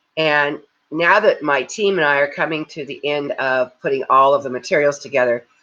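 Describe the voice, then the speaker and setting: This woman's voice sits at a very deep, low pitch. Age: 70s. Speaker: livestream host and crisis management certification leader. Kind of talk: casual talk with guided reflection. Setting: Facebook live video. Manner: conversational, with frequent fillers and repetitions.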